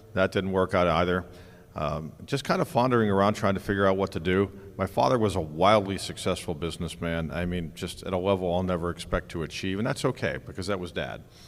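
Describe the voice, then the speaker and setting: Over a silent background in a very clean recording, a man with an American accent talks at a very fast pace in a very deep, low pitch. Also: ordinary pitch variation. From US, Pittsburgh area. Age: 60s. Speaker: conference founder. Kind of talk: onstage interview.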